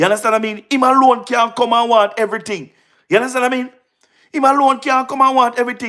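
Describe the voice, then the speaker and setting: The voice has a Jamaican accent and an animated tone. It moves at a very fast pace. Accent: Jamaican Patois-inflected English. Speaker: political livestream host. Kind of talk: live-stream political commentary. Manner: loud.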